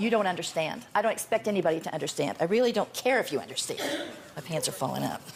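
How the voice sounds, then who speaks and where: Over noticeable background noise, a woman talks at a very fast pace. Her intonation is lively. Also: medium pitch for a woman. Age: 70s. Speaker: talk show guest. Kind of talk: talk show confrontation.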